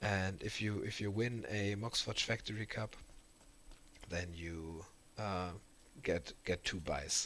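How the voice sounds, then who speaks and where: A man speaks at a very slow pace and a fairly low pitch, leaving long, frequent pauses. His intonation stays fairly even. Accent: German. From Germany. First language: German. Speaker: streamer and card game commentator. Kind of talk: casual livestream recap. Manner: halting, many repetitions and fillers.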